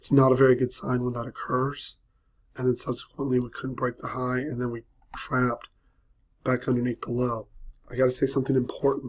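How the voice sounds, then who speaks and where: Somewhat breathy and medium-pitched, a man talks in a flat monotone at a fairly quick pace, broken by long, frequent pauses. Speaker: trading coach. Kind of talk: live market commentary webinar.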